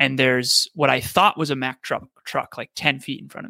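Fairly quick and bright, sharp in tone, a man speaks with vocal fry and fairly even intonation. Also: dry, close sound with no echo. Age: 30s. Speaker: podcast host and speaker. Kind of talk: interview.

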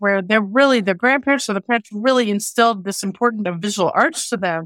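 A woman with an American accent speaks at a fairly quick pace with ordinary pitch variation. The sound is dry and close with no echo, on a very clean recording with a silent background. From Oklahoma. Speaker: painter, curator and magazine editor. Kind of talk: casual interview. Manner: frequent fillers and hesitations.

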